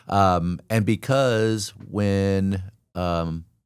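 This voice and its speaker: A man speaks at a fairly low pitch on a very clean recording with a silent background. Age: 60s. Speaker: mortgage loan officer. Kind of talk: podcast interview. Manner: casual, with filler words.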